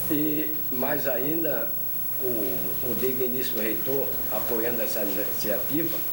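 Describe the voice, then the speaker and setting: A man with a medium pitch talks very slowly, his intonation lively but his loudness very even. There is audible room echo and noticeable background noise. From Brazil, Natal (Rio Grande do Norte). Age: 70s. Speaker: retired judge and writer. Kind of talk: oral history interview testimony. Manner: halting.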